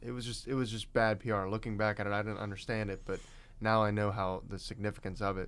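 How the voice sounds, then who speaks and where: An unremarkable speaking voice from a man, fairly low in pitch and with fairly even intonation. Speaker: host's son, guest. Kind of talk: casual interview with father. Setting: studio.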